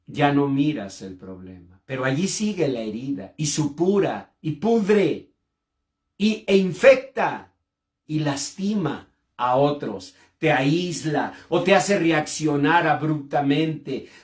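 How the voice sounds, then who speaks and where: Very slow and somewhat breathy, the voice makes big swings in loudness and very wide swings in pitch. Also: man, fairly high pitch for a man. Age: 60s. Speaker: pastor and clinical psychologist. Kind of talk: sermon. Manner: impassioned.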